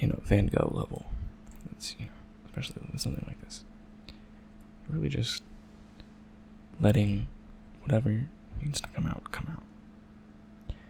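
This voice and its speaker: Soft-spoken, a man talks at a moderate pace with long, frequent pauses and big swings in loudness. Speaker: ASMR creator, doodle artist. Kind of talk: soft-spoken ASMR drawing commentary.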